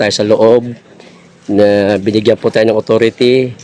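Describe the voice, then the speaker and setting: Noticeable background noise sits under a dry, close sound with no echo. A man speaks at a moderate pace with a medium pitch and monotone, flat intonation. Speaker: vlogger. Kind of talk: live vlog walkthrough. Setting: outdoors at night among sleeping supporters. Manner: lowered voice.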